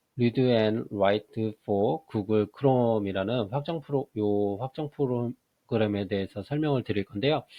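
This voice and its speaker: A man talks very slowly, with ordinary pitch variation. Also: medium pitch for a man. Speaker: math teacher giving software tutorials. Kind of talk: screen-recorded tutorial.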